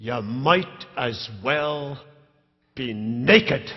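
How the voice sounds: In a gruff, put-on character voice with a Scottish accent, a man speaks at a medium pitch.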